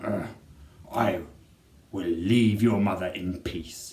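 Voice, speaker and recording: This put-on character voice growls at a very slow pace. Its intonation stays fairly even. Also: man, fairly low pitch for a man. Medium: read story.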